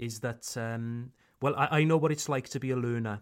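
Fairly even intonation with a Welsh accent, on a very clean recording with a silent background. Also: man. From South Wales, Pontypool. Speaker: English teacher. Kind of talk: casual autobiographical talk. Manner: natural pace, unedited everyday speech.

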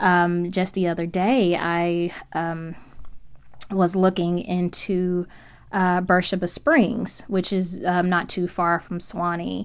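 On a very clean recording with a silent background, a woman with a fairly low pitch speaks very slowly with fairly even intonation. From Memphis, West Tennessee. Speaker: professor. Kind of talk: interview.

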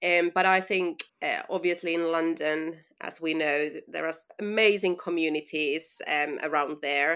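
A woman's fairly low-pitched voice with a Finnish accent, fairly even intonation and hardly any pauses. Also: fairly slow pace, very clean recording, silent background. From Finland. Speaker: running brand founder. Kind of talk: interview.

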